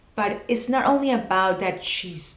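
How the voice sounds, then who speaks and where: Noticeable background noise and audible room echo surround the recording. A woman with a Spanish accent speaks with ordinary pitch variation. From Venezuela. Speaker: video producer and personal branding coach. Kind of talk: tutorial. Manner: self-correcting, occasional false starts.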